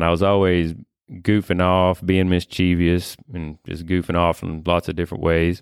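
A man with a Kentucky accent speaks at a moderate pace in a very deep, low, monotone voice with flat intonation, recorded dry and close with no echo against a very clean, silent background. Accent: Kentucky Southern US. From Kentucky, US. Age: 30s. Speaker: landscaper, podcast guest. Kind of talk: faith testimony interview.

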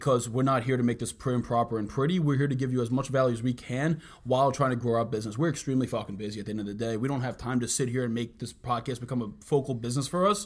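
Rushing along at a very fast pace with hardly any pauses, a man speaks at medium pitch with ordinary pitch variation. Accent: New York. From US Northeast, Bronx, New York. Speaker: podcast co-host, entrepreneur. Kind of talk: casual chat. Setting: office.

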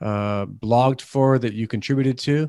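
A man with a slight Canadian accent, moderate pace and fairly even intonation, in a dry, close sound with no echo over a quiet background. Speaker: podcast host. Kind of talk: interview. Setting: remote recording. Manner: halting, repeats words.

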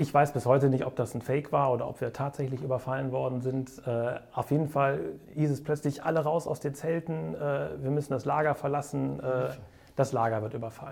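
The man speaks at a fairly quick pace with fairly even intonation. His voice is somewhat breathy. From Bonn area, Swabian upbringing. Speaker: entrepreneur, event agency owner. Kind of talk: interview storytelling.

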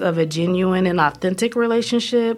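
A woman with an American accent talks at a fairly slow pace, her medium pitch varying in an ordinary way. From US Pacific Northwest, Oregon. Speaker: social work professor. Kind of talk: research podcast monologue. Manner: measured, with frequent fillers.

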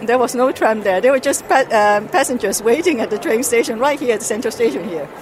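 A woman talks at a very fast pace with hardly any pauses and lively intonation, over noticeable background noise. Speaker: parent living abroad. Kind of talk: street interview. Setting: at a fair.

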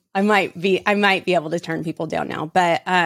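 A woman at a moderate pace. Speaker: podcast host and network marketing entrepreneur. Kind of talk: solo monologue. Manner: loud; animated.

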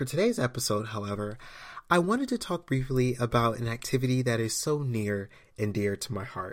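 A man speaks at a moderate pace and medium pitch. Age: 20s. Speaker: podcast host. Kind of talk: personal monologue podcast.

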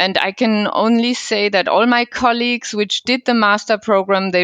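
A woman with a German accent in a dry, close sound with no echo. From Germany, Cologne region. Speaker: wine business consultant. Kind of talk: interview.

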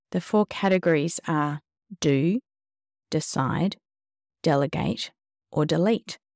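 A woman's fairly low voice with an Australian accent, fairly slow, with ordinary pitch variation and a dry, close sound free of echo. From Western Australia. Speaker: podcast host and farmer. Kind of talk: interview podcast; scripted narration.

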